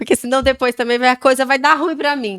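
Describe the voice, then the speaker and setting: A woman with a high pitch and a bright, sharp tone speaks in a dry, close sound with no echo. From Brazil, Goiás. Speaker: podcast co-host, mother. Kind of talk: casual chat.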